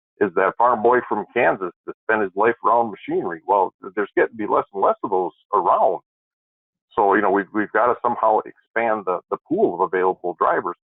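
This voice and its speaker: The speaker has an Upper Midwest accent. The pace is fairly quick. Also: man. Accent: northern Upper Midwest. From Wisconsin. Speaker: trucking regulatory expert. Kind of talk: webinar discussion. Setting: webinar. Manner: halting, many repeated words.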